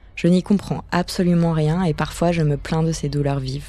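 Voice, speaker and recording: A woman speaks with a very deep, low pitch and a dark, mellow tone. Her delivery is monotone and flat, at a fairly slow pace. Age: 20s. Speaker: podcast host. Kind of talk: scripted narration.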